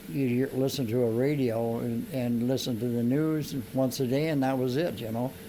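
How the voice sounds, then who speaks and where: Audible room echo surrounds a man with an American accent. His intonation stays fairly even. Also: medium pitch for a man, moderate pace. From US Midwest, Iowa. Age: 80s+. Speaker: interviewee. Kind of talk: casual chat.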